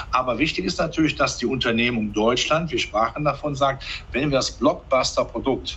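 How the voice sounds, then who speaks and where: A man is heard over light background noise. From Germany, rural farming background. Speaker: capital market analyst. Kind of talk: interview. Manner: animated. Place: office. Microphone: headset.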